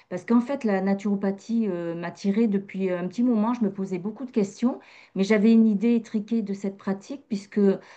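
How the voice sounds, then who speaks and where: A woman speaks at a moderate pace in a dark, mellow tone at medium pitch. Her intonation is fairly even over a quiet background. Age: 50s. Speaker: massage practitioner and naturopathy graduate. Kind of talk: testimony interview. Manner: hesitant, many fillers.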